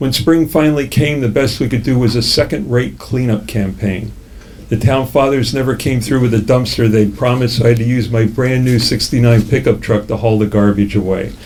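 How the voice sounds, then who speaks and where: A man with a plain, everyday voice talks fairly quickly at a medium pitch. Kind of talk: memoir reading. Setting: live cafe reading.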